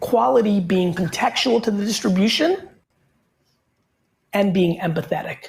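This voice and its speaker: Putting on a raspy character voice, a woman speaks at a medium pitch and a moderate pace, with lively intonation and long, frequent pauses. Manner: very slow, emphatic delivery.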